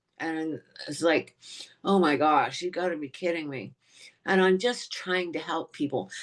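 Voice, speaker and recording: A woman speaks at a moderate pace. Her pitch is fairly low, and she has a plain, everyday voice. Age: 60s. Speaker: eating disorder awareness advocate. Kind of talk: podcast interview.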